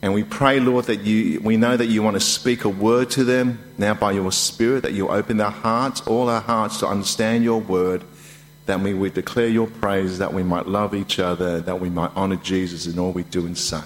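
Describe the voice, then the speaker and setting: With an ordinary speaking voice, a man goes at a moderate speed, his pitch varying in an ordinary way. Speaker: preacher. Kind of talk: sermon. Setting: church.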